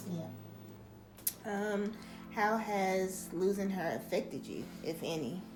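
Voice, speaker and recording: Music plays in the background as a woman at medium pitch speaks very slowly, with ordinary pitch variation and long, frequent pauses. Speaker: podcast host; author. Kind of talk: podcast interview.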